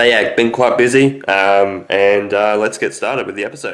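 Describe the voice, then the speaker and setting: A man at a fairly low pitch, moderate pace, and ordinary pitch variation. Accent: Australian. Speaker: sports fan vlogger. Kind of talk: casual monologue. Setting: video recording.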